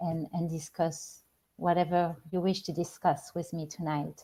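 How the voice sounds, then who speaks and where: With a French accent, a woman talks at a fairly slow pace in a fairly low, somewhat breathy voice with a dark, mellow tone. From France. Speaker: spiritual life coach. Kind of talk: live-stream talk show monologue. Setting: live stream. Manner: halting, with many repeated words and fillers.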